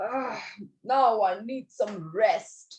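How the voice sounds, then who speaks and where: A fairly high pitch marks this put-on character voice. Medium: read story. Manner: grumpy, rude.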